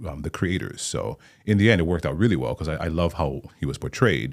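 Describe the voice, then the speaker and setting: A man speaks with a very deep, low pitch and vocal fry. His pace is fairly quick. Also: very clean recording, silent background. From Hawaii, Maui. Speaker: actor and playwright. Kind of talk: interview conversation. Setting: studio.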